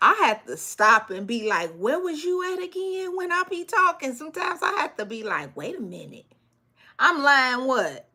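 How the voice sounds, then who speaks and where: A raised, projected voice with a bright, sharp tone moves at a moderate pace, with very wide pitch swings and big swings in loudness. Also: woman, high pitch for a woman. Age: 40s. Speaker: business coach for cleaning companies. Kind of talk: live stream Q&A. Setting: live stream. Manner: casual, conversational with many fillers.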